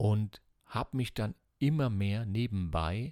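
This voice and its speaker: The recording is very clean with a silent background and a dry, close sound with no echo, carrying a man's fairly low voice. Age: 50s. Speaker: psychotherapy practitioner and coach. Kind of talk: personal monologue podcast.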